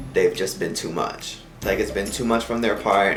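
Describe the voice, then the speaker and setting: The delivery moves at a moderate pace. Behind it, music plays. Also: man. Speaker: comedy YouTuber. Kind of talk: casual talk to camera. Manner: joking, animated.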